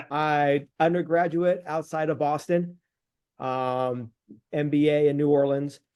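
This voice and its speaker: A man speaks in a plain, everyday voice with a fairly high pitch. His pace is fairly slow and his intonation fairly even. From California. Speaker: business growth consultant. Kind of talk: casual business call introduction.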